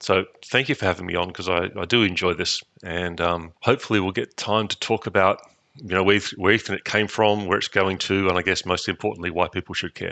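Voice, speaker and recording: A man with an Australian accent speaks at a fairly quick pace in a very deep, low pitch, his tone bright and sharp and his intonation fairly even. The sound is dry and close with no echo, over a quiet background. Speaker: network engineer. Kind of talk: interview.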